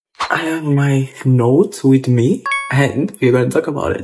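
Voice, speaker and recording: The voice is quiet, with noticeable background noise. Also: man. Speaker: YouTuber reviewing a TV show. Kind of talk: casual vlog chat. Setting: at home. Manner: talking quietly.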